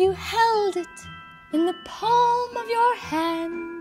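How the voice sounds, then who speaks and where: Over clear background music, a female-sounding put-on character voice speaks at a very slow pace with an extremely high pitch. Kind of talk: mystical pronouncement. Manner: solemn, grand.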